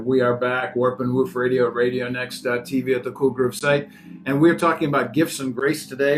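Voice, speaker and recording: The man's medium pitch comes through over noticeable background noise. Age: 60s. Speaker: radio host. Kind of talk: casual chat; radio show intro.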